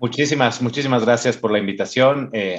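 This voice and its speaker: A man with a Mexican accent keeps a moderate pace and ordinary pitch variation. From Mexico. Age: 40s. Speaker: entrepreneur, finance company CEO. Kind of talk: interview conversation. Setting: video call. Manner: halting, with frequent repetitions.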